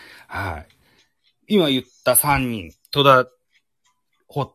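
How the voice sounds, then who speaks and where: Speaking at a fairly slow pace, a man with a medium pitch has a bright, sharp tone and vocal fry, recorded with a dry, close sound and no echo. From Japan, Shimane (Matsue). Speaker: podcast host. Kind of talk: casual chat. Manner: hesitant, many fillers.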